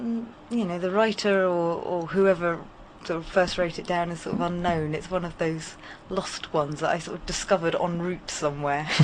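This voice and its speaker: Fairly low in pitch, a woman talks with a southern English accent. Her pace is moderate and her intonation fairly even. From Hampshire, southern England. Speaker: storyteller. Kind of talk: radio interview; storytelling. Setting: radio studio.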